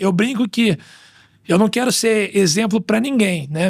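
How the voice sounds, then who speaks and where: A man speaks with a high pitch. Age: 30s. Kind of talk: testimony; casual chat.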